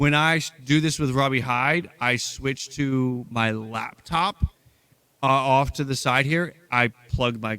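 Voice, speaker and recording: Very slowly, a man talks at medium pitch in a bright, sharp tone. His pitch varies in an ordinary way. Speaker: baseball podcast host. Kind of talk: casual chat. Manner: projects strongly to avoid cutting out.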